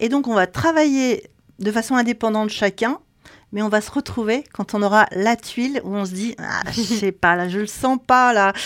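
A woman speaks in a plain, everyday voice, fairly high in pitch with ordinary pitch variation, recorded with a dry, close sound and no echo. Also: very clean recording, silent background. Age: 60s. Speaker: textile company owner. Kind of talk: interview. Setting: knitting factory.

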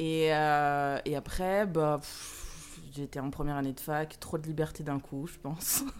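A woman talks at a fairly slow pace with a very deep, low pitch. Her intonation is monotone and flat, while her loudness swings widely. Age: 30s. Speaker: social worker and model. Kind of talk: casual chat.

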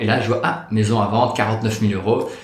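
In a room with audible echo, a man talks at a fairly low pitch. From Belgium, Liège. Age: 30s. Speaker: real estate investor. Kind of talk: interview. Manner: calm.

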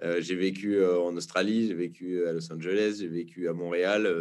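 A man speaks in a very deep, low voice with a flat, monotone delivery. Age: 30s. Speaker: actor and documentary director. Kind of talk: casual interview. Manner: hesitant, many fillers.

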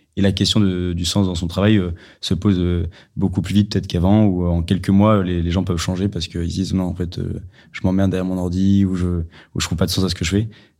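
A man's very deep, low voice with a dark, mellow tone, monotone and flat in intonation, at a very fast pace in a very clean recording with a silent background. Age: 20s. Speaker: podcast host. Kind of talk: casual interview.

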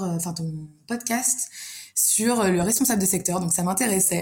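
A woman at medium pitch, somewhat breathy, speaks in a dark, mellow tone with ordinary pitch variation. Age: 20s. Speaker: food industry sales manager. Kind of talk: casual chat.

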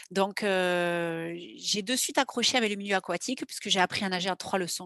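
Ordinary pitch variation marks this speaker. She is a woman with a medium pitch. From southwestern France, Landes. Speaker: lifeguard athlete and ocean rower. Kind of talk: interview testimony. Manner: halting.

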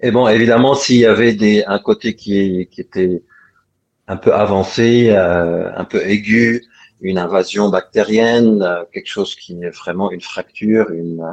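A man speaks at a fairly slow pace and a fairly low pitch. His intonation is fairly even, though his loudness swings widely. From Lebanon. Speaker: doctor. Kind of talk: interview. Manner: halting.

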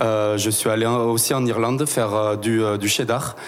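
Recorded with audible room echo and noticeable background noise, a man at a medium pitch talks in a flat monotone at a fairly slow pace. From southwestern France, Tarn. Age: 20s. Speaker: cooperative sales and promotion staff. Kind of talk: interview.

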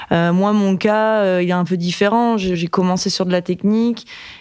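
With a normal speaking voice, a woman talks at a fairly slow pace and fairly even intonation. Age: 30s. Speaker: engineer and manager. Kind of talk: casual interview, Q&A with students.

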